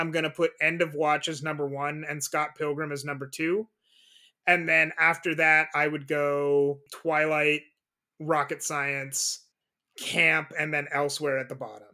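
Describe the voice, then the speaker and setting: Speaking at a fairly slow pace, a man uses a fairly high pitch in a monotone, flat intonation. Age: 20s. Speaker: podcast co-host. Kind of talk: casual chat.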